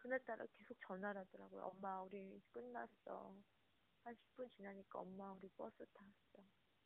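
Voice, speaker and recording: A woman at a moderate pace with big swings in loudness. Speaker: bereaved parent and activist. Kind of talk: interview testimony.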